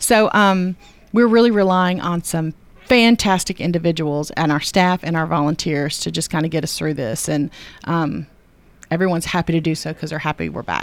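Moderate pacing and ordinary pitch variation in a woman's fairly low-pitched voice. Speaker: arts center staff member. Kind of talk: radio interview. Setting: studio.

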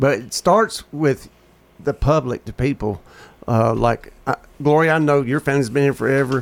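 The speaker has a Tennessee accent and a moderate pace with ordinary pitch variation. The sound is dry and close with no echo. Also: man, fairly high pitch for a man. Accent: US Southern (Tennessee). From Murfreesboro, Tennessee. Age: 50s. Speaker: radio talk show host. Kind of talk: casual chat. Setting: studio.

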